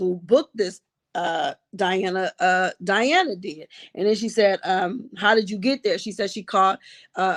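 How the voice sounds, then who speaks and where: Over dry, close sound with no echo, a woman speaks fairly slowly at a medium pitch with ordinary pitch variation. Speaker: trial commentator. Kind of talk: live stream recap. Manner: subdued, less upbeat than usual.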